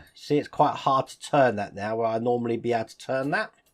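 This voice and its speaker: Speaking with a British accent, a man talks at medium pitch. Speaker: model-building YouTuber. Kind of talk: tutorial.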